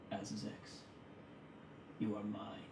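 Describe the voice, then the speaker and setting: A man performs a booming, put-on character voice. Loud background noise and a slight echo are present. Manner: menacing.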